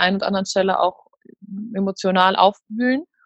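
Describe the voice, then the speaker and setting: At a moderate pace, a woman speaks in a medium pitch with monotone, flat intonation, in a dry, close sound with no echo. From Münster, Germany. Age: 20s. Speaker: former retreat participant, student and freelance journalist. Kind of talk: casual interview.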